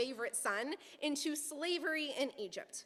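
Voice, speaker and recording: A woman speaks in a raised, projected voice. Her pitch is high. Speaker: guest preacher. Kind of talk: sermon. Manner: fast; humorous storytelling.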